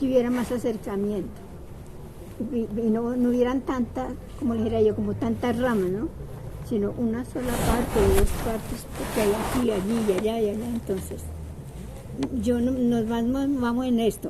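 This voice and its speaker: Room echo and noticeable background noise surround a woman with a fairly high pitch. She talks at a moderate pace with fairly even intonation and long, frequent pauses. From Bogotá, Colombia. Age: 80s+. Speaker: neighborhood resident, community culture participant. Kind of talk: street interview. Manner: halting, with repetitions.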